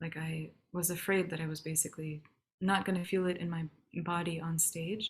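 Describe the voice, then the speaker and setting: The speaker talks at a fairly quick pace with an American accent. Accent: more American now. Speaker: singer. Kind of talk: interview. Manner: hesitant, many fillers.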